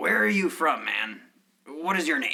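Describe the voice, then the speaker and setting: Using a raspy put-on character voice, a man talks at a moderate pace in a fairly high pitch. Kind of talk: mock-heroic fantasy speech. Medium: audio drama.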